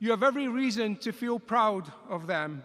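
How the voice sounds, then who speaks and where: In a Scottish accent, a man speaks at a fairly slow pace with a bright, sharp tone and ordinary pitch variation. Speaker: engineering college dean. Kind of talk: commencement speech.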